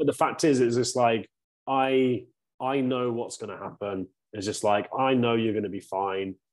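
Speaking with a British accent, the voice keeps a moderate pace and ordinary pitch variation. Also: man, medium pitch for a man. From UK. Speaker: men's coach. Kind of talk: casual chat.

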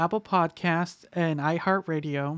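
In a dry, close sound with no echo, a man speaks at a high pitch and a fairly slow pace with ordinary pitch variation. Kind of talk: casual chat.

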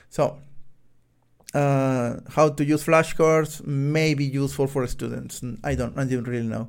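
In a very clean recording with a silent background, a man with a Spanish accent speaks at a fairly slow pace, with fairly even intonation and a fairly high pitch. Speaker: podcast host, software developer. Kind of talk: solo book review monologue. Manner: halting, many fillers.

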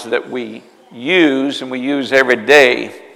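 Noticeable background noise sits behind a man's voice. He has a medium pitch and ordinary pitch variation. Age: 50s. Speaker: pastor. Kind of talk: sermon.

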